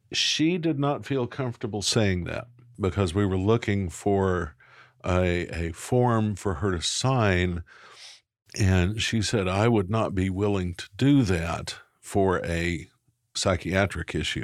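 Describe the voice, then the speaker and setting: A man with a fairly low voice and a Southern US accent speaks very slowly, with ordinary pitch variation, on a very clean recording with a silent background. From Arkansas, Little Rock. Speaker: pastor. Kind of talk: interview. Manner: halting.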